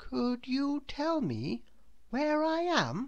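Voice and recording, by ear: A woman's high, put-on character voice, very slow, with very wide pitch swings and a slightly mellow tone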